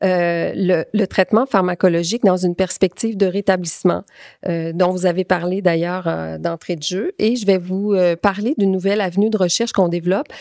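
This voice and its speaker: A medium-pitched woman with a Quebec accent at a moderate pace, in a dry, close sound with no echo on a very clean recording with a silent background. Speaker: clinical pharmacist and researcher. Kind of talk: conference talk. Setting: conference with audience. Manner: hesitant, many fillers.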